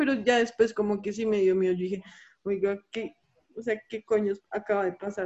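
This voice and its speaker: A woman with a plain, everyday voice speaks at a medium pitch and a fairly quick pace. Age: 20s. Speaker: graphic design student. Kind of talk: casual chat.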